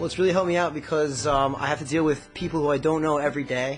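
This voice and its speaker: A man with an American accent talks at a very fast pace in a fairly high voice, his intonation fairly even, with music playing behind him. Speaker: blacksmith; college student. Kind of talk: interview answer.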